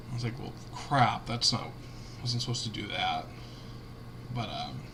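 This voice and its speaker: Someone with a Cincinnati accent talks at a moderate pace. Audible room echo and noticeable background noise are present. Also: man. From Cincinnati, Ohio, US Midwest. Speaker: gaming streamer. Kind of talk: casual live-stream commentary. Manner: casual, halting with fillers.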